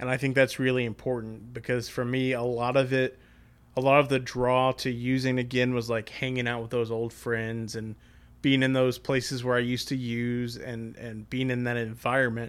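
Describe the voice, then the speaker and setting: At a moderate pace, a man speaks with monotone, flat intonation. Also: medium pitch for a man, very clean recording, silent background. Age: 20s. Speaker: podcaster in addiction recovery. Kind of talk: casual interview, recovery testimony.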